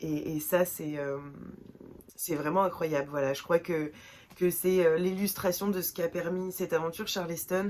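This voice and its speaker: At a fairly slow pace, a woman speaks in a fairly low, flat monotone. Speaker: book vlogger. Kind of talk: casual vlog talk. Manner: hesitant, many fillers.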